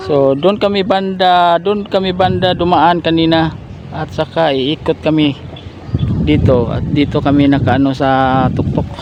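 Speaking at a fairly high pitch, a man is heard against noticeable background noise. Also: ordinary pitch variation, fairly slow pace. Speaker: goat-raising vlogger. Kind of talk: vlog narration outdoors. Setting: outdoors in a pasture.

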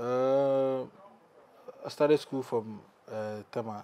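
A man of medium pitch talks slowly with fairly even intonation, his tone dark and mellow yet clear and smooth.

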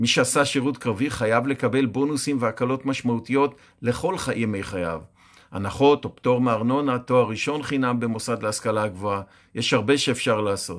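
The recording is very clean, with a silent background. A man with an ordinary speaking voice talks fairly quickly at a medium pitch with ordinary pitch variation. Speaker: youth pre-army training educator. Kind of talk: scripted personal column read aloud.

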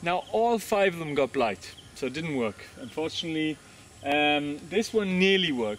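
A man talks with ordinary pitch variation and a moderate pace, light background noise under him. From Germany. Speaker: farmer and gardening video host; gardening video host. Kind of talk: casual video tour. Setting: outdoors on a farm. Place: garden. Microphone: camera far.

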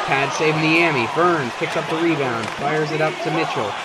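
A man talks at a moderate pace with a fairly high pitch. Crowd noise carries in the background. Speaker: video game commentator. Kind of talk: live sports commentary over a simulated hockey game. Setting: gaming video with voiceover. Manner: fills gaps with hesitant 'uh' and 'um'.

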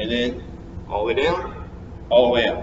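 A man's moderate pace comes through noticeable background noise. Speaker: fitness coach. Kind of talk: tutorial. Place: gym.

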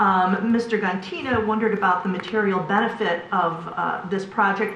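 There is noticeable background noise and audible room echo. Through it, a woman speaks with ordinary pitch variation. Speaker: planning commissioner. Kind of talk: public meeting deliberation. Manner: loud; hesitant, many fillers.

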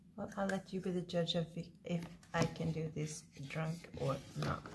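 A woman speaks at a moderate pace. Noticeable background noise is present. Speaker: vlogger. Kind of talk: casual vlog chat. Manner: tipsy, loose, slightly slurred talk. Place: home room. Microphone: webcam.

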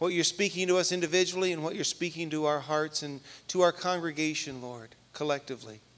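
A man speaks at a very fast pace with ordinary pitch variation. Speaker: pastor. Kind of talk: sermon. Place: church. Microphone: handheld.

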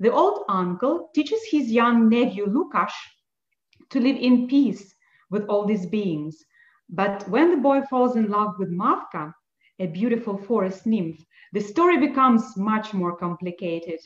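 A somewhat breathy woman at a fairly slow pace, with audible room echo and a quiet background. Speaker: event co-host. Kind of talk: presentation. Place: home room. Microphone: video call.

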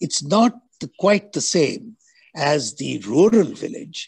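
A man's voice with vocal fry and very wide pitch swings, against a quiet background. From India. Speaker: moderator, architect; moderator. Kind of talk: moderated Q&A. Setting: video call. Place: home room. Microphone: video call.

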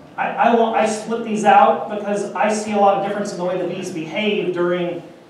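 The speech moves at a moderate pace, with light background noise and strong room echo. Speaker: conference presenter. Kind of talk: lecture. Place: hall.

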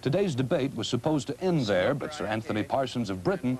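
Using a normal speaking voice, a man talks at a fairly quick pace and medium pitch with lively intonation. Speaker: TV news correspondent reporting. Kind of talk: field news report voiceover.

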